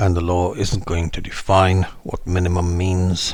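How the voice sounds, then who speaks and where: A man with a very deep, low-pitched voice speaks at a fairly slow pace amid audible room echo. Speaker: legal educator on mental health law. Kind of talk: tutorial.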